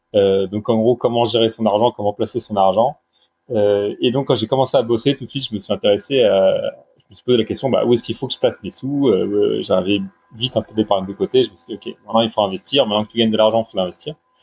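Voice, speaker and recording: A man talks at a very fast pace in a medium pitch. His loudness swings widely while his pitch variation stays ordinary. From Brittany, France. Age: 30s. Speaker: newsletter creator on sustainable finance. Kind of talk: casual interview.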